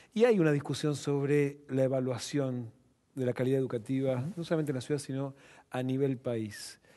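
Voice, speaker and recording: In a Rioplatense accent, a man talks at a fairly quick pace and medium pitch. His tone is dark and mellow, his intonation fairly even. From Buenos Aires, Argentina. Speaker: TV show host. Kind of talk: broadcast interview and moderated discussion. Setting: studio. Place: studio. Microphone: headset.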